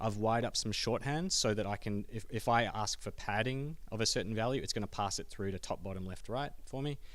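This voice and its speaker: In an Australian accent, the speaker goes at a very fast pace with ordinary pitch variation. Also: man. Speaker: software developer giving a meetup talk. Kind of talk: technical talk with live coding demo.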